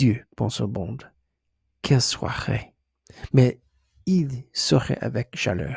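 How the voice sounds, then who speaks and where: The sound is dry and close with no echo. A man talks at a very slow pace and a medium pitch, his tone dark, mellow and somewhat breathy. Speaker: ASMR creator. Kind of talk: ASMR book reading. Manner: hesitant, stumbling, soft.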